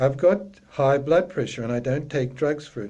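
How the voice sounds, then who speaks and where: At a moderate pace, a man speaks in a dark, mellow tone with a fairly high pitch. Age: 60s. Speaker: yoga practitioner giving a talk. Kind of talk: talk.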